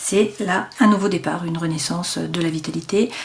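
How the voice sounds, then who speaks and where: A woman's fairly low voice with ordinary pitch variation, over noticeable background noise. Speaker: tarot card reader. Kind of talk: tarot reading. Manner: hesitant, many fillers.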